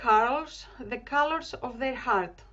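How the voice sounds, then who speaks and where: A woman's high voice with a Greek accent, lively intonation and a very slow pace. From Greece, Thessaloniki. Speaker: community organiser. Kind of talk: online group celebration talk. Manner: halting.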